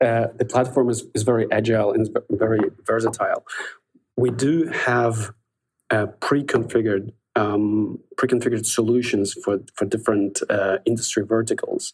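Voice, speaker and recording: A somewhat breathy man, with fairly even intonation and very even loudness. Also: medium pitch for a man, moderate pace. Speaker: software sales executive. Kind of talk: podcast interview. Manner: halting, many fillers.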